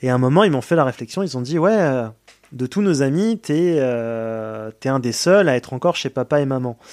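Here is a normal speaking voice with lively intonation, moving at a moderate pace. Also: man. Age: 20s. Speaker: care home worker. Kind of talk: testimony.

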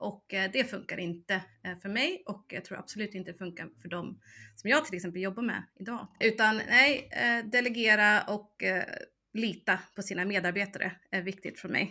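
Bright and sharp in tone, a woman's medium-pitched voice moves at a moderate pace with ordinary pitch variation and big swings in loudness. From United States. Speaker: online service manager. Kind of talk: casual interview. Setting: remote link.

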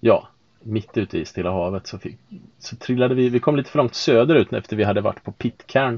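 Using a plain, everyday voice at medium pitch, a man talks at a fairly quick pace with ordinary pitch variation and big swings in loudness. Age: 40s. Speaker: sailing podcast host, IT worker. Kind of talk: casual chat. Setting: on board a sailboat.

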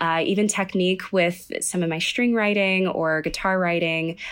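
Speaking at a fairly slow pace, a woman with an American accent uses an unremarkable speaking voice at a medium pitch with fairly even intonation. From Texas (Sugar Land, Houston area). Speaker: composer. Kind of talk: interview chat.

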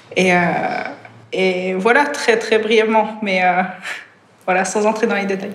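A woman talks in a monotone with flat intonation. Audible room echo and noticeable background noise surround her. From Switzerland. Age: 30s. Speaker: triathlete. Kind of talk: casual chat.

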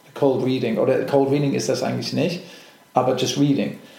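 Fairly fast male speech with clear room echo and plenty of background noise. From England and Germany. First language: English (speaking German). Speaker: actor. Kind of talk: interview. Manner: halting, many fillers.

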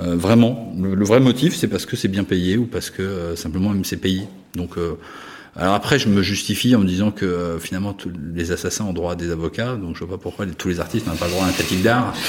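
At a fairly quick pace, a man with a very deep, low pitch speaks with fairly even intonation. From France (Paris, Savoyard roots). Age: 50s. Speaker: art critic and gallerist. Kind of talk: interview. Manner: hesitant, many fillers.

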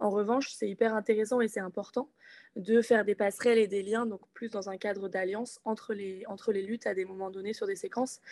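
At a fairly quick pace, a woman talks in a medium pitch with a dark, mellow tone and monotone, flat intonation. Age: 20s. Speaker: climate activist. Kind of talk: political discussion.

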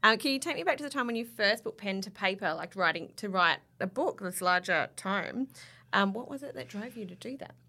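With an Australian accent, a woman speaks at a fairly quick pace and medium pitch, her tone bright and sharp, her intonation lively and her loudness swinging widely. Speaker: magazine editor and podcast host. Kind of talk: casual chat. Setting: studio.

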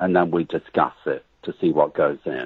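A man speaks with a West Country accent. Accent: English accent, West Country origin. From England. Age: 60s. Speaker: writer. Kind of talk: interview.

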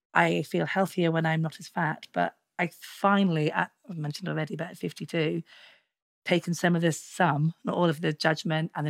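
With a plain, everyday voice, a woman speaks at a fairly quick pace and fairly low pitch, showing big swings in loudness in a very clean recording with a silent background and a dry, close sound with no echo. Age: 50s. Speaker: podcast co-host. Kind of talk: casual chat.

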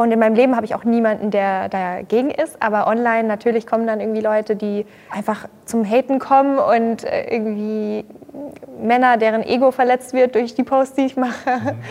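Speaking at a fairly high pitch, a woman keeps her intonation fairly even while noticeable background noise runs underneath. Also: moderate pace. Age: 20s. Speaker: social media creator and yoga practitioner. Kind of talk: casual chat.

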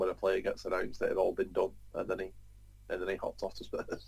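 A man is speaking. He has a North London accent. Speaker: football podcast panelist. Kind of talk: casual banter.

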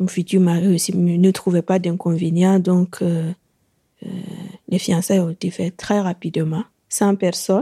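Speaking in a Burkinabe accent at a fairly slow pace, a woman with a medium pitch and a dark, mellow, somewhat breathy tone keeps a monotone, flat intonation with long, frequent pauses, the sound dry and close with no echo. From Burkina Faso. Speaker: woman living with HIV. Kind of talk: personal testimony. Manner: halting, with hesitations.

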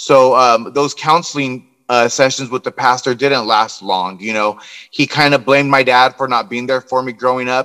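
A man with an American accent has a bright, sharp tone, recorded dry and close with no echo. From Southern California, US. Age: 40s. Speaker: guest sharing faith testimony. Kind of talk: testimony.

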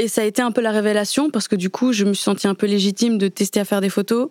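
A woman's ordinary speaking voice, medium in pitch with fairly even intonation, in a very clean recording with a silent background and a dry, close sound with no echo. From Switzerland. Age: 20s. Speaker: photographer. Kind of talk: interview. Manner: casual.

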